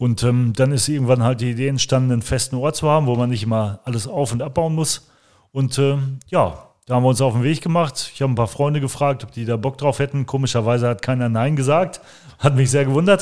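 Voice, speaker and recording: A man talks very fast at a medium pitch with ordinary pitch variation, recorded very cleanly over a silent background. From Germany, Langenberg (Westphalia). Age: 40s. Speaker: cultural association organizer. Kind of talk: interview. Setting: on location.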